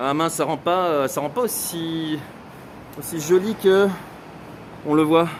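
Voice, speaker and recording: There is noticeable background noise as a man with a southern French accent talks at a very slow pace. His pitch is fairly high, and he takes long, frequent pauses. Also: ordinary pitch variation. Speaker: photographer and travel vlogger. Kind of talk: live travel vlog walk and chat. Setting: outdoors. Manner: loud.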